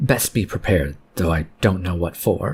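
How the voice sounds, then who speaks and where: Using a put-on character voice, a man speaks very deep and low at a moderate pace. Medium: read story. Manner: blunt, terse.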